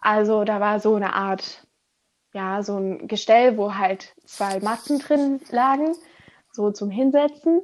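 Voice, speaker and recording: A woman with a fairly high pitch talks very slowly, her intonation lively. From Germany. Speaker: former volunteer teacher abroad. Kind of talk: interview. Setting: remote recording from home.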